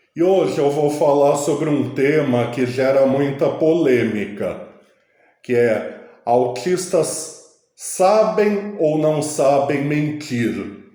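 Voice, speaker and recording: A man's dark, mellow voice, fairly high in pitch, at a very slow pace with lively intonation, very even loudness, and audible room echo. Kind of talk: casual vlog monologue.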